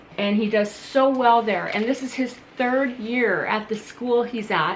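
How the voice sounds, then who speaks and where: Over noticeable background noise and audible room echo, a woman speaks fairly slowly in a fairly high voice with fairly even intonation. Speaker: parent vlogger. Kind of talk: casual vlog update. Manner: loud.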